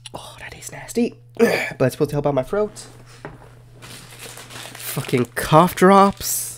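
Very slow whispering from a man. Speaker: gaming video host. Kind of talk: casual gaming commentary. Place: home room. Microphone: studio mic.

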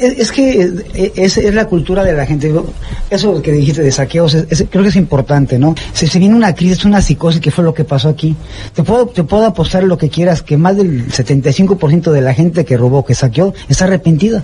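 Over light background noise, a man with a high pitch talks at a fairly quick pace, with lively intonation and very even loudness. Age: 50s. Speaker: volunteer rescue worker. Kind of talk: interview. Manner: halting, repeats words. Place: home room. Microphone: handheld.

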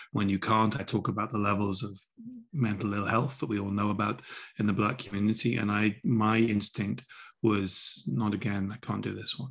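At a moderate pace, a man speaks with a fairly low pitch and fairly even intonation against a quiet background. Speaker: remote guest. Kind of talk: interview answer. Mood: earnest, reflective. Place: home room. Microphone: video call.

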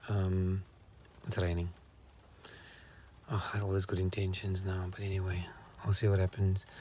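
A man talks in a low pitch with a dark, mellow tone.

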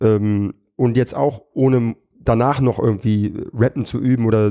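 A man speaks at a medium pitch in a dark, mellow tone, his intonation fairly even and his loudness very even, over a quiet background. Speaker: comedian and battle rapper; comedian. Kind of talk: podcast interview. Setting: studio. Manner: fast. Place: studio.

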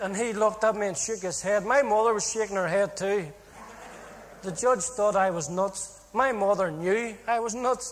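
At a moderate pace and high pitch, a man speaks with ordinary pitch variation over noticeable background noise. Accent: Northern Irish. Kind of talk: testimony.

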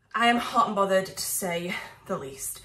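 Ordinary pitch variation from a woman at a moderate pace, with audible room echo around her. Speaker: expectant first-time mother vlogger. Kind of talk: casual vlog chat. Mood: flustered, frustrated with machine. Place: kitchen.

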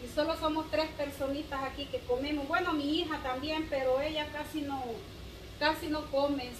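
The speech moves at a moderate pace in a monotone, flat intonation, with noticeable background noise. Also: woman. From El Salvador. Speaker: video blogger. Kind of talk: cooking vlog. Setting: home kitchen. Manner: casual and chatty. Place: kitchen.

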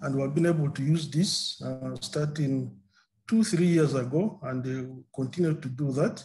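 Moderately paced speech from a man at a fairly high pitch, with ordinary pitch variation and noticeable background noise. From Uganda. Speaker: maize breeder. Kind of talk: webinar presentation. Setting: video call. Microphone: video call.

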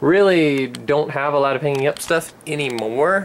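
There is light background noise as a man talks with ordinary pitch variation. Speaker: vlogger. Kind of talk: casual vlog chat. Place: home room. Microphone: phone near.

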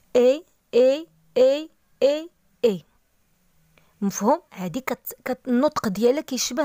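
A woman with a Moroccan accent speaks at a fairly slow pace in a high pitch, her voice swinging very widely. The recording is very clean with a silent background. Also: dry, close sound with no echo. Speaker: language teacher. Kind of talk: tutorial. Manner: slow, repeating words for practice.

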